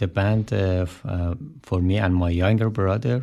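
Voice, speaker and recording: Over a quiet background, a man with a Persian accent speaks in a very deep, low pitch, with a dark, mellow tone and ordinary pitch variation. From Iran. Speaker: musician, band drummer. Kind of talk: radio interview. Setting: radio studio. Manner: halting.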